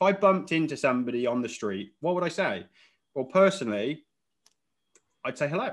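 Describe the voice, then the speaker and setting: A man speaks at a fairly quick pace and a fairly high pitch, with very wide pitch swings and vocal fry. Long, frequent pauses break up his speech over a quiet background. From UK. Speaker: online fitness business coach. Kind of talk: interview.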